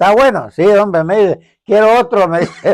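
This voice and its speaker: A man talks at a fairly slow pace. The sound is dry and close with no echo. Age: 80s+. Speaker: community elder. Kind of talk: casual chat.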